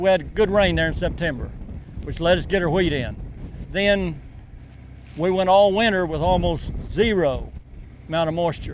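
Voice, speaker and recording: With an Oklahoma accent, a man speaks at a moderate pace and a high pitch, using fairly even intonation, long and frequent pauses, and audible room echo. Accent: rural Oklahoma. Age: 60s. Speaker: wheat farmer. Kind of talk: interview.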